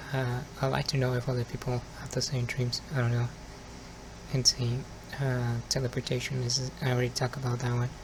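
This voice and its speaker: Over noticeable background noise, a man at a medium pitch speaks at a fairly quick pace in a monotone, flat way. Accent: Spanish. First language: Spanish. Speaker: ASMR youtuber. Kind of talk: ASMR casual monologue. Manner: soft-spoken.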